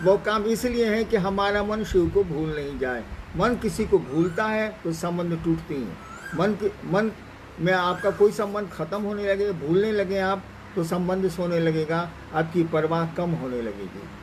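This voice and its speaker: Noticeable background noise sits behind a man whose high-pitched voice shows ordinary pitch variation. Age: 70s. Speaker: spiritual guru. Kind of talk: spiritual Q&A talk.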